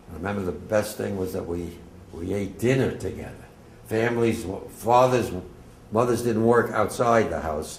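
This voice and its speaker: A man with an American accent speaks in a fairly low pitch with ordinary pitch variation at a moderate pace. He leaves long, frequent pauses, and there is audible room echo. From New Jersey, Bergen County (Englewood). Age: 80s+. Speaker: war veteran. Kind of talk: testimony. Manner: casual, digressive.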